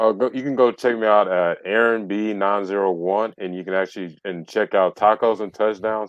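An unremarkable speaking voice from a man with an American accent, fairly low-pitched, at a moderate pace with hardly any pauses and fairly even intonation. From US South. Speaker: sports podcaster. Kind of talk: casual chat.

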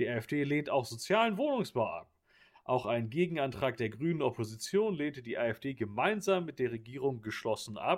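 On a very clean recording with a silent background, a man speaks in a fairly high pitch with very wide pitch swings. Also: moderate pace. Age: 20s. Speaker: podcast co-host. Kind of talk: casual chat.

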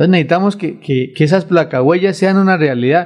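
A man talks fairly quickly at a high pitch. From Colombia, Santander (Vélez province). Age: 40s. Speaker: local council candidate and businessman. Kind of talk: radio interview. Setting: radio studio. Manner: halting, with frequent repetitions.

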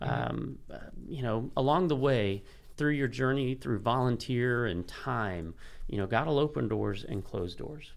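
The man's voice has a medium pitch and some vocal fry. He moves at a moderate pace with lively intonation. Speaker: pastor. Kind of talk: casual interview chat.

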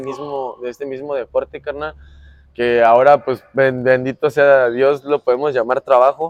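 A man with a medium pitch speaks at a fairly slow pace. The sound is dry and close, with no echo. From Mexico City. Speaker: professional basketball player. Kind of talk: casual interview chat. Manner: repetitive, halting with many restarts.

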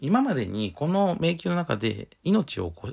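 A man with vocal fry speaks at a fairly high pitch, his pitch swinging very widely. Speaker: podcast host and game designer. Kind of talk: solo podcast talk. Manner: hesitant, many fillers.

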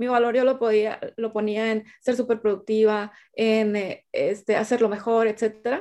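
Her voice is fairly high-pitched for a woman, with a dark, mellow tone, a monotone, flat delivery and a fairly slow pace. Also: hardly any pauses. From Sinaloa, Mexico. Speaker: sales coach and speaker. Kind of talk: interview. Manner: halting.

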